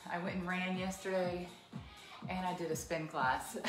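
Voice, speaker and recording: Music in the background behind a woman at a moderate pace. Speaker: fitness instructor. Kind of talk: live class instruction and chat. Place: home room. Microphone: camera far.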